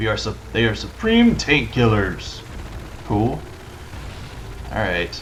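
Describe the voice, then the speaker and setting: A man with an American accent speaks with long, frequent pauses. Audible room echo and noticeable background noise surround his voice. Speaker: let's play gamer. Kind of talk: gameplay commentary. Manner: fast; casual, hesitant with fillers.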